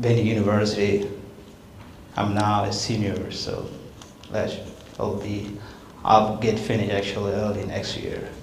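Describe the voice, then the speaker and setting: Speaking at a moderate pace with long, frequent pauses, a man with a South Sudanese accent uses a fairly low pitch and monotone, flat intonation, amid light background noise and audible room echo. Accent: South Sudanese (Dinka) English. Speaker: refugee speaker, student; guest. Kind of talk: public talk. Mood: earnest, reflective. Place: hall. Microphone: handheld.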